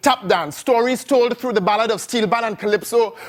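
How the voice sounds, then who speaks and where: A man delivers his words at a moderate pace. Behind him, music plays. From Trinidad. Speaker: spoken word poet. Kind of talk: performance poetry. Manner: rhythmic.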